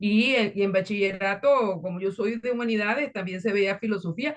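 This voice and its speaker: Fairly high pitch from a woman, delivered at a moderate pace. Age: 60s. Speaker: workshop participant. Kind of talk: casual chat. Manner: halting. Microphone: laptop mic.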